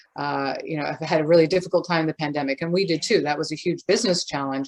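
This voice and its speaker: A woman with a Canadian accent and a very deep, low pitch. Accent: non-Scottish, Canadian. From Canada. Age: old. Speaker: gin distiller, business owner. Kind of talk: interview.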